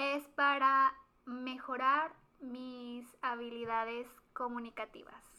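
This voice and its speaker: Raising and projecting her voice, a woman speaks very slowly at a high pitch in a flat monotone with a bright, sharp tone. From Mexico, Guanajuato. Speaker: podcast co-host. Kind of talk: casual chat.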